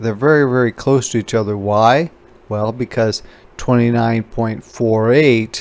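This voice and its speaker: This is a man with an unremarkable speaking voice at a medium pitch. He talks at a fairly slow pace with fairly even intonation. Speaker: instructor. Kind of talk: tutorial. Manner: casual.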